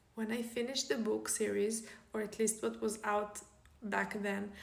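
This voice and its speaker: A woman's voice comes with audible room echo. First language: Hebrew. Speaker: author. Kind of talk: casual vlog talk.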